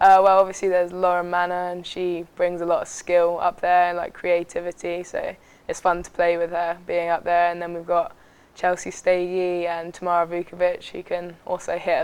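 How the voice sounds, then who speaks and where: A woman speaks with an English accent. Her intonation is monotone and flat. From England, Southampton. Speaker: college soccer player. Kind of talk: interview.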